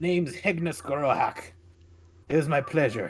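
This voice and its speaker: Put-on character voice at a middle pitch and moderate pace. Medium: actual play.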